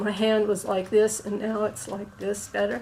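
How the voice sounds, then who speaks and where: There is noticeable background noise. A woman talks over it at a moderate pace. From United States. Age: 60s. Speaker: tai chi student, former yoga teacher. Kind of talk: interview testimony. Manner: halting.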